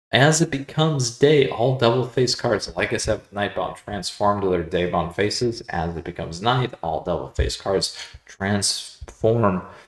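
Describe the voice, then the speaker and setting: With an enthusiastic tone and lively intonation, a man speaks at a fairly low pitch with big swings in loudness and hardly any pauses, while noticeable background noise carries on behind him. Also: moderate pace. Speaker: card game content creator. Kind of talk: video guide. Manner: filler-heavy.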